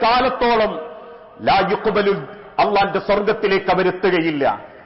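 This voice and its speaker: Ordinary pitch variation from a male speaker, with noticeable background noise behind him. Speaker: Islamic preacher. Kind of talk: Islamic religious sermon.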